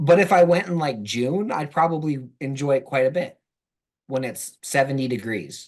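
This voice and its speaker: A man's unremarkable speaking voice with an American accent, fairly high in pitch, moderately paced, with lively intonation. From US South. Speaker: football blogger. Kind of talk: casual chat.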